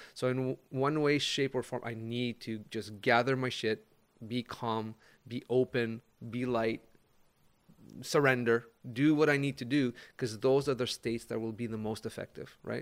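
A man with an ordinary speaking voice at medium pitch, moderate pace and fairly even intonation. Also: very clean recording, silent background. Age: 50s. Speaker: life coach. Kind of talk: casual chat.

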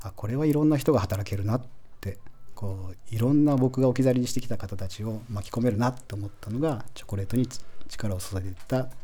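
A man speaks at a very fast pace in a medium pitch with a dark, mellow tone, somewhat breathy, and with ordinary pitch variation. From Japan, Aichi (Toyohashi). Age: 40s. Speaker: chocolate company founder. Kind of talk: radio interview. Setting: radio studio.

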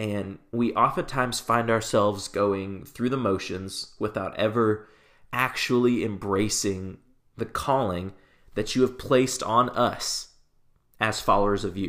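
Fairly even intonation marks this man's a plain, everyday voice, captured in a very clean recording with a silent background. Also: medium pitch for a man, fairly slow pace. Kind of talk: fervent, earnest spoken prayer led for listeners, with a reverent tone. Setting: solo podcast recording. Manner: earnest and heartfelt, slow and solemn.

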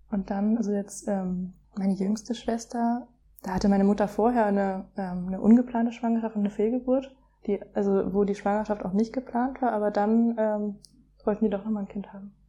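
A woman's somewhat breathy voice with a dark, mellow tone, medium pitch, monotone and flat intonation, at a fairly quick pace. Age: 20s. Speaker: young mother. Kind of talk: casual chat. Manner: hesitant, many fillers.

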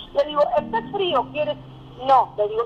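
Intonation is lively as the woman speaks. Noticeable background noise runs underneath. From Argentina. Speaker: educator and Holocaust scholar. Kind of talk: interview.

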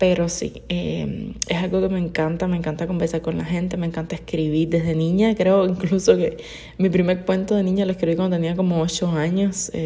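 Over noticeable background noise, a woman with a fairly low pitch talks at a moderate pace in a monotone, flat intonation. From Cuba. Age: 20s. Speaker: podcaster. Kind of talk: casual monologue.

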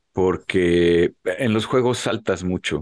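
Over a quiet background, a man with an unremarkable speaking voice uses lively intonation in a dry, close sound with no echo. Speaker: podcast co-host. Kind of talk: casual chat.

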